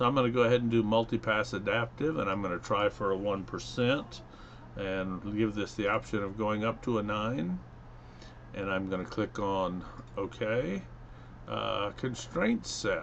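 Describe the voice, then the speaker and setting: At a moderate pace, a man speaks in a fairly low pitch with ordinary pitch variation and an unremarkable speaking voice. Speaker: engineering instructor. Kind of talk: software tutorial. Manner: casual, with fillers.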